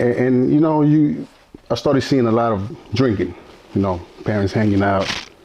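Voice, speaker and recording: A man speaks at a moderate pace with a medium pitch and lively intonation. His tone is dark and mellow, his loudness very even. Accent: American. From Mexico, Durango. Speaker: interview guest sharing life story. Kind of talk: interview testimony. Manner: halting, many fillers and repetitions.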